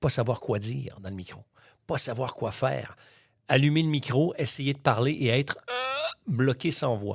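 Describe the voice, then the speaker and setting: On a very clean recording with a silent background, a man with a medium pitch speaks at a fairly slow pace. His somewhat breathy voice has an animated tone and ordinary pitch variation. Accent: Quebec. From Quebec. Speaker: master of ceremonies. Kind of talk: interview.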